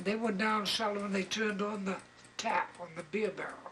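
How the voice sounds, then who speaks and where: The speaker talks at a moderate pace. Background noise is noticeable. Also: man. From Maine, Bangor. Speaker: elderly local resident. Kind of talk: interview, oral history recollection. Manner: halting, repeats words.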